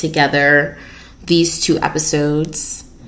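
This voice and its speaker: With audible room echo, a woman speaks very slowly in a very deep, low voice and fairly even intonation. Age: 20s. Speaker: podcast host. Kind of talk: casual solo talk.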